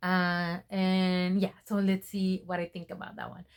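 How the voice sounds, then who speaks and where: Speaking with a Spanish accent is a woman. The recording is very clean and the background silent. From Mexico. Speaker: book vlogger. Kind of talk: casual vlog talk to camera. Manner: casual with frequent fillers.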